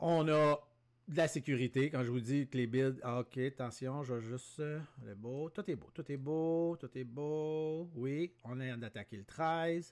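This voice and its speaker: In a Quebec accent, a man speaks at a very slow pace and a fairly high pitch. The recording is very clean with a silent background, and his pitch variation is ordinary. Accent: Québécois French. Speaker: day trader. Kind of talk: live trading commentary. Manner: animated.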